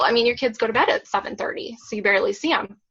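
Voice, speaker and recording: With an unremarkable speaking voice, a woman talks at a fairly high pitch using lively intonation. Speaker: physical therapist and fitness coach. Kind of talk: testimony. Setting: video call.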